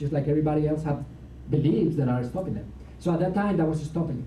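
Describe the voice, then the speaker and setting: With audible room echo, a man's fairly high-pitched voice carries a dark, mellow tone and some vocal fry. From Latin America. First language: Spanish. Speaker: motivational speaker. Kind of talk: seminar talk. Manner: animated.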